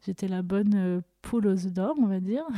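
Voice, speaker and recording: A woman talks at a medium pitch with fairly even intonation. The recording is very clean with a silent background, and the sound is dry and close with no echo. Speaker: podcast host sharing her story. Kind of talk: personal testimony. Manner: emotional, voice tone shifting.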